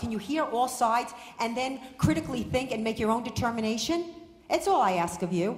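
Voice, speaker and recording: A woman's high-pitched voice at a very fast pace, lively intonation and audible room echo. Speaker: guest. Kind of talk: impassioned public speech. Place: hall. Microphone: podium.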